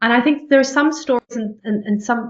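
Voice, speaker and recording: A woman with an American accent, a fairly high pitch, ordinary pitch variation, and a fairly quick pace. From Australia. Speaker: TV journalist and news anchor. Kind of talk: interview conversation. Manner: frequent repetitions and fillers.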